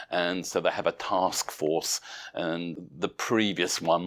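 Captured in a very clean recording with a silent background, a man speaks with a British accent in a very deep, low voice. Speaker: professor of intensive care and researcher. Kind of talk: interview answering medical questions.

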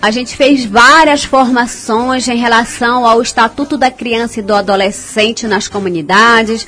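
There's noticeable background noise as a woman talks with hardly any pauses. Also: fairly high pitch for a woman, ordinary pitch variation, fairly slow pace. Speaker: community radio host. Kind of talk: radio show. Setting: studio. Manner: casual, warm.

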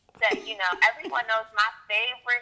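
A woman speaks in an animated tone at a fairly high pitch. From US Northeast, Puerto Rican heritage. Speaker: author and abuse prevention specialist. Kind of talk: interview.

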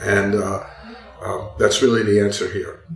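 With an American accent, a man speaks at a moderate pace. Noticeable background noise runs underneath. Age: 70s. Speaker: author and walker. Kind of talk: casual interview chat.

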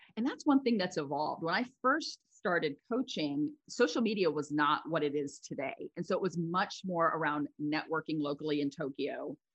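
With an American accent, a woman with an unremarkable speaking voice talks in a fairly low pitch with lively intonation. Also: moderate pace, hardly any pauses. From US, Philadelphia suburbs. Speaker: life coach. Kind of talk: interview. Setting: studio.

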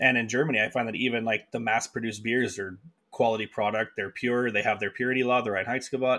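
At a very fast pace, a man with a Canadian accent speaks at medium pitch in a bright, sharp tone. His intonation is monotone and flat, and the recording is very clean with a silent background. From Canada, rural Manitoba near Winnipeg. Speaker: head brewer. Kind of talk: interview.

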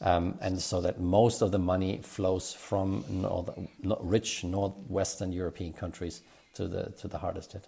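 A man's very deep, low voice, somewhat breathy, with a German accent and monotone, flat intonation. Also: fairly slow pace. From Germany. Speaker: economist at a think tank. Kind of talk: policy discussion podcast. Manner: hesitant, many fillers and repetitions.

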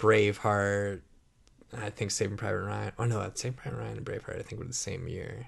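Against a quiet background, a man with vocal fry talks fairly quickly at a fairly low pitch. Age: 30s. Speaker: podcast co-host. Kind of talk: casual chat.

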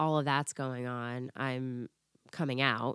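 A woman with an American accent speaks at a very slow pace in a very deep, low pitch. The sound is dry and close with no echo, on a very clean recording with a silent background. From Florida. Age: 30s. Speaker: podcast guest. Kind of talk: personal story in casual chat.

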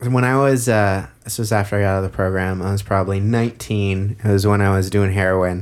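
A man's fairly low voice at a fairly quick pace, hardly any pauses, fairly even intonation, an unremarkable speaking voice, on a very clean recording with a silent background. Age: 20s. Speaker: podcast co-host. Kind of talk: casual chat. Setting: studio.

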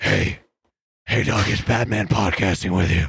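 A man puts on a character voice, very deep and low in pitch and raspy. His pace is fairly slow. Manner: gruff.

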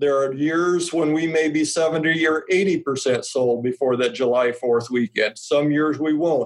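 Speaking with a Midwestern American accent, a man keeps his fairly high voice in fairly even intonation. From Nebraska. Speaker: grain marketing specialist. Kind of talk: casual interview.

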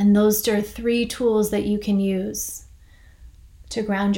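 A woman at medium pitch speaks very slowly in a flat monotone. Audible echo fills the room. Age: 40s. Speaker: podcast host and meditation teacher. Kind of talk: reflective monologue with guided grounding. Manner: soft-spoken.

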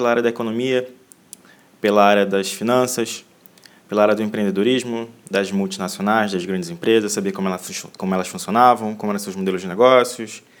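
Speaking at a fairly quick pace, a man uses a plain, everyday voice with ordinary pitch variation. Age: 20s. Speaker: podcast host, university student. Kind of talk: solo podcast introduction.

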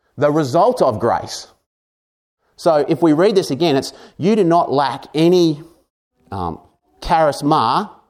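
Fairly slowly and with vocal fry, a man speaks in an Australian accent on a very clean recording with a silent background. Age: 40s. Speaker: pastor. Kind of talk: sermon.

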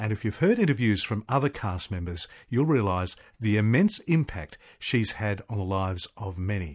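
Speaking with an Australian accent, a man with a fairly low pitch uses lively intonation at a moderate pace in a very clean recording with a silent background. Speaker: radio host. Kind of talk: casual interview.

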